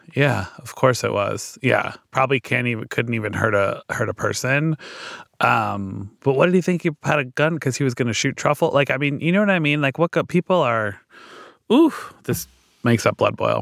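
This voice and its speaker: The sound is dry and close with no echo. A man with vocal fry speaks at a moderate pace in a fairly high voice with lively intonation. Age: 40s. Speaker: cookbook author and food influencer. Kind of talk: casual chat.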